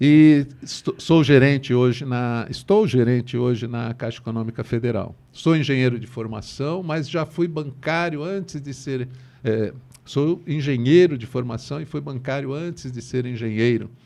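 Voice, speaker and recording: Speaking at a fairly slow pace, a man with a medium-pitched, dark, mellow voice shows ordinary pitch variation and big swings in loudness. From Brazil, Santos (São Paulo state). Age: 60s. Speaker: bank manager. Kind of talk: interview conversation.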